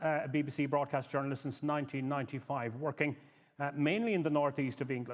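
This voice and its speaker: A man with a Cork accent talks at a fairly quick pace. His voice is fairly high in pitch. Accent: Irish (Cork). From Ireland, northwest County Cork. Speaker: panel moderator, news editor. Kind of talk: conference panel introduction. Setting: conference stage with audience.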